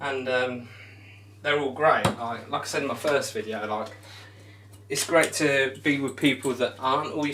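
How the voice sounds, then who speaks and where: With an English accent, a man speaks at a moderate pace in a fairly high pitch with fairly even intonation. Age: 20s. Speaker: darts streamer. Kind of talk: live stream chat. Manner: casual.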